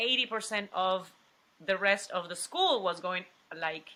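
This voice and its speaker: Speaking at a fairly slow pace, a woman has a strong Mexican accent and a medium pitch. Her tone is bright and sharp, with ordinary pitch variation. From Mexico, Coatzacoalcos (Veracruz). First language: Spanish. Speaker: actress. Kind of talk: interview. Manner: halting, many restarts.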